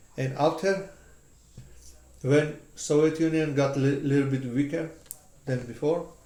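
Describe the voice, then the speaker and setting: A man with a fairly high pitch and a dark, mellow tone speaks at a fairly slow pace in a fairly even intonation, leaving long, frequent pauses, with audible room echo. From Georgia (country). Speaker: interviewee. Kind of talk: casual chat. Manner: halting.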